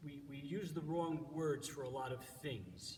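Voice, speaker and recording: With an American accent, a somewhat breathy man speaks with ordinary pitch variation over audible room echo. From New York. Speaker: church organist giving devotions. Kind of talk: devotional talk. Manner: halting, many fillers.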